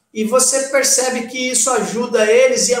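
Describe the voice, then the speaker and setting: Raising and projecting his voice, a man speaks at a fairly slow pace with audible room echo. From Brazil, Santos area (São Paulo coast). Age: 40s. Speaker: taekwondo master. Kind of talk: casual chat.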